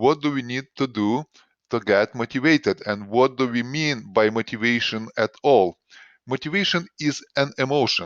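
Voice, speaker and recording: A man with a non-native accent at medium pitch, with ordinary pitch variation and a moderate pace. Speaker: doctor giving health advice. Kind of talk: recorded presentation. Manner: hesitant, with frequent uh fillers.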